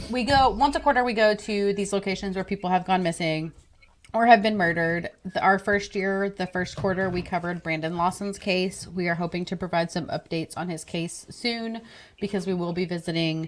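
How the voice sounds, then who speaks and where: The speaker has a Texan accent and talks at a fairly quick pace. Pitch variation is ordinary. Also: woman. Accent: Texan accent (self-described as horrible). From Texas. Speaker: true crime podcast co-host. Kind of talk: casual live-stream chat. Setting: live stream video call.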